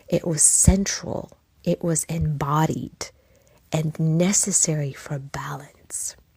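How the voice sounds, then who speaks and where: A woman's very deep, low voice, somewhat breathy, with a dark, mellow tone. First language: not English. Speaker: podcast host. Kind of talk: reflective podcast monologue.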